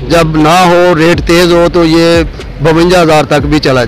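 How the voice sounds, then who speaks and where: Recorded with a dry sound with no echo over light background noise, a man speaks at a high pitch. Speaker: fish seller. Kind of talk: interview answer. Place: market. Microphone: handheld.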